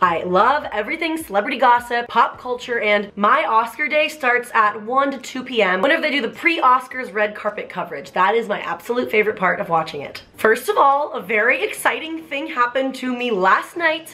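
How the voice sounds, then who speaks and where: With hardly any pauses, a woman speaks fairly quickly in a high pitch and lively intonation over noticeable background noise. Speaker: YouTuber. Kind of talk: casual vlog commentary. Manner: animated.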